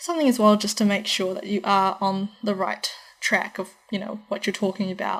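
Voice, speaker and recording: This voice carries a New Zealand accent with ordinary pitch variation. The pace is fairly quick. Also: woman. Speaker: university student vlogger. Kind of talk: advice vlog. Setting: in her room. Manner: fast. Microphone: laptop recording, audio changes throughout.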